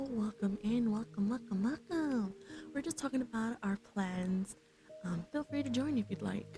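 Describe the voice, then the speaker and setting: A soft-spoken woman with a relaxed tone talks at a moderate pace, her fairly high pitch carrying lively intonation at very even loudness over noticeable background noise. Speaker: vtuber streamer. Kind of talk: casual livestream chat with viewers, ASMR stream. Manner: soft-spoken, relaxed.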